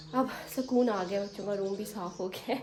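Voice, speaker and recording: A woman with a medium-pitched voice talks while noticeable background noise carries on behind her. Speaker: family vlogger. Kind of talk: casual vlog narration.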